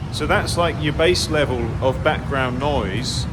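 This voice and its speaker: A man with a medium pitch talks amid noticeable background noise and audible room echo. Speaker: furniture maker and workshop owner. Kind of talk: tutorial. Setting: workshop.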